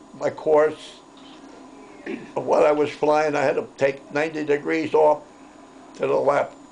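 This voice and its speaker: Noticeable background noise behind a man talking at a fairly slow pace. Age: 80s+. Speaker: war veteran. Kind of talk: interview storytelling.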